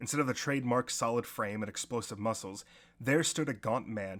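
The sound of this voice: Pitch variation stays ordinary in this unforced reading voice.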